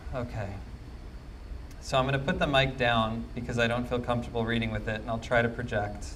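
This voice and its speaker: Vocal fry runs through a man's medium-pitched voice as he talks at a fairly quick pace with fairly even intonation. There are long, frequent pauses, and room echo is audible. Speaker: psychic empath. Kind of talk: live demonstration talk. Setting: stage with audience. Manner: loud.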